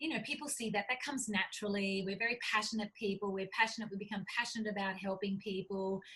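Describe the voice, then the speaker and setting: With an Australian accent, a woman talks at a very fast pace with hardly any pauses, her pitch medium. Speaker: cookbook author and publisher. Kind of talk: interview. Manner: animated.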